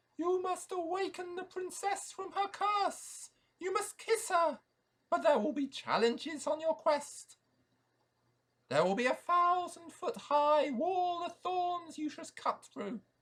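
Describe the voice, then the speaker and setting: A man puts on a character voice, talking fairly slowly in an extremely high pitch. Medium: read story. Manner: hooting, long-winded, solemn.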